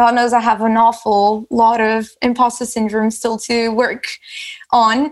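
With a Portuguese accent, a woman speaks at a fairly high pitch. Her pace is fairly slow and her intonation monotone and flat. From Portugal, Lisbon. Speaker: category manager. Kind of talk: casual chat. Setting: video call.

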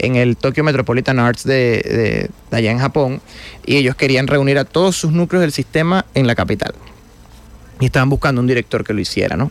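A man with an unremarkable speaking voice, at a medium pitch and fairly quick pace, with ordinary pitch variation and very even loudness. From Venezuela, Guanare. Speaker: orchestra conductor. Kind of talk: radio interview.

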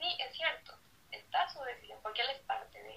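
A woman with a high voice speaks at a moderate pace, her intonation lively. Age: 20s. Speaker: lawyer and activist. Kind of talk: live-streamed casual interview.

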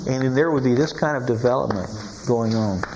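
A man's voice with noticeable background noise. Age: 80s+. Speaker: Bible teacher. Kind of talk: sermon. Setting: stage with audience.

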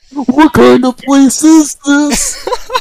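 A high-pitched, put-on character voice.

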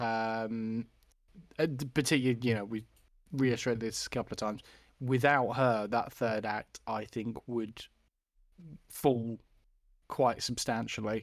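On a very clean recording with a silent background, a man with a British accent speaks at a fairly slow pace. His intonation is monotone and flat, with long, frequent pauses. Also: medium pitch for a man. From UK. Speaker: film podcast co-host. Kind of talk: casual chat.

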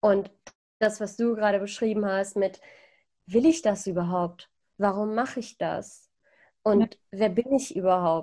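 Speaking fairly slowly with long, frequent pauses, a woman uses a medium pitch, ordinary pitch variation and a dark, mellow tone. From Iran (Persian roots), came to Germany. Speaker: podcaster. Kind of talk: casual interview chat. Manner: hesitant, many fillers.

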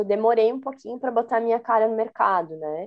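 A woman with a fairly high pitch and a dark, mellow tone speaks at a moderate pace. Her pitch variation is ordinary, and the background is quiet. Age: 30s. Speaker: Scrum Master, former education manager. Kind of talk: interview.

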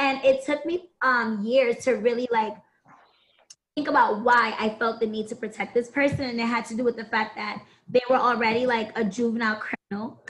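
A woman talks at a moderate pace with a fairly high pitch and fairly even intonation. Hers is an ordinary speaking voice. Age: 20s. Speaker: podcast guest. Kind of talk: casual chat.

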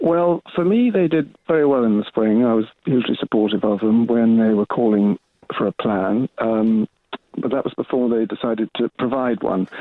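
A man with an ordinary speaking voice talks at a moderate pace and medium pitch, his pitch variation ordinary and his loudness very even. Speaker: caller. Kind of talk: phone-in call. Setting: phone call.

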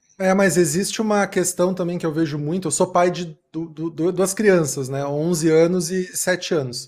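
Hardly pausing at all, a man with a high pitch speaks at a fairly slow pace with fairly even intonation. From Southern Brazil, Rio Grande do Sul. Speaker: podcast host. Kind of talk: interview. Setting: live stream.

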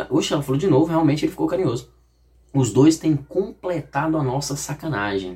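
A man's fairly high, animated voice with vocal fry, at a fairly quick pace. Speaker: YouTuber. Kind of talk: reading aloud with casual commentary.

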